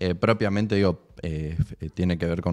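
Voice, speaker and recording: Speaking at a moderate pace over a quiet background, a man uses a very deep, low pitch and fairly even intonation. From Maipú, Buenos Aires province, Argentina; Buenos Aires province, Argentina. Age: 20s. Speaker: provincial government official; guest. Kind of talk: casual interview chat. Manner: halting, many fillers and repeated words. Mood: calm, thoughtful. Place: studio. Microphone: studio mic.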